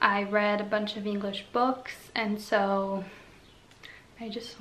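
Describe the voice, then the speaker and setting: Over noticeable background noise and audible room echo, a woman talks at a fairly high pitch. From Slovenia. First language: Slovene. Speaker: vlogger. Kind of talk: casual chat.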